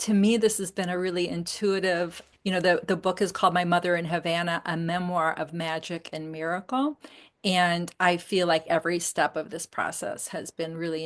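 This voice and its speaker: A woman at a moderate pace with fairly even intonation, a plain, everyday voice. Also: fairly low pitch for a woman, quiet background. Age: 60s. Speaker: memoirist and dance teacher. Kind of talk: interview conversation.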